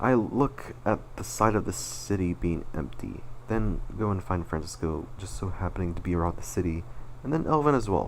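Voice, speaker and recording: Very wide pitch swings from a man with a very deep, low pitch, at a moderate pace, in audible room echo. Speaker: animator and channel owner. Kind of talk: personal retrospective presentation. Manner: slurred words; halting, self-correcting.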